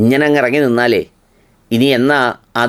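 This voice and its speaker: In an ordinary speaking voice, a man talks at medium pitch with ordinary pitch variation. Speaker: video commentator. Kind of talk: humorous monologue.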